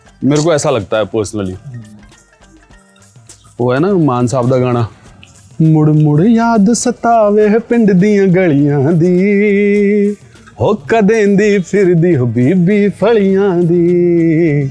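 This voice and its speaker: High-pitched man's voice in a relaxed tone, with lively intonation and very even loudness over music in the background. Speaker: radio jockey. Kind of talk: interview answer, casual conversational talk. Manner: relaxed, reflective, chatty.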